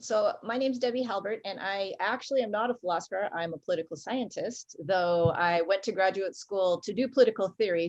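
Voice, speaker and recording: Using an American accent, a woman of medium pitch speaks at a fairly quick pace with ordinary pitch variation. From Washington State, US. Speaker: political scientist. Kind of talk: panel discussion.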